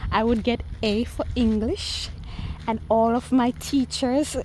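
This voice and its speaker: A woman's fairly high voice at a very slow pace. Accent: Jamaican. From Jamaica. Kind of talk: casual talk to camera. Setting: outdoors.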